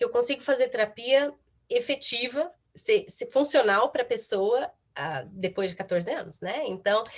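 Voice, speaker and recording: In a Brazilian accent, the speaker talks at a fairly slow pace with very wide pitch swings. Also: woman, high pitch for a woman. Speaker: psychotherapist. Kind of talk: talk at online event. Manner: halting, many fillers.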